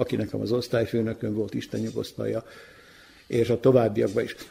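Speaking at a fairly quick pace, a man uses a dark, mellow tone with vocal fry and fairly even intonation. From Vojvodina, Serbia (Kula). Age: old. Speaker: retired television executive. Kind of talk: radio interview. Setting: community hall.

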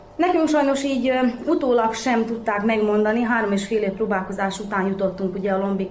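A woman talks at a fairly quick pace and medium pitch, with ordinary pitch variation. Noticeable background noise and audible room echo surround her. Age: 30s. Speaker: mother of triplets. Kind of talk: interview.

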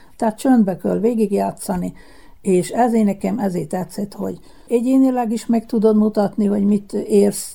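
At a fairly slow pace, a woman with medium pitch speaks in a dark, mellow tone with vocal fry. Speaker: former world champion bowler. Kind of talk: radio interview.

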